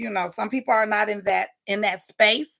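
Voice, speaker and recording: Loud and passionate, a woman speaks at a medium pitch. Her pitch varies in an ordinary way. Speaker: morning talk show host. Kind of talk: casual livestream talk with affirmations. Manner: passionate, unfiltered.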